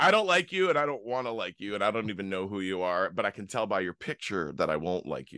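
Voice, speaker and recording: A man's fairly low, bright and sharp voice at a very fast pace with hardly any pauses, in a dry, close sound with no echo. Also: lively intonation, quiet background. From Canada. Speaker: podcast host and musician. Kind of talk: interview.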